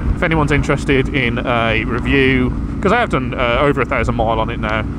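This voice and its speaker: A man races along at a very fast pace over noticeable background noise, with the room's echo audible. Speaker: motorcycle vlogger. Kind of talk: casual motovlog monologue.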